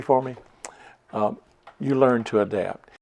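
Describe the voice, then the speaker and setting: The speaker has a North Carolina accent and ordinary pitch variation. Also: man. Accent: North Carolina Southern. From Chatham County, North Carolina. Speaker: oral history interviewee. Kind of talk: interview.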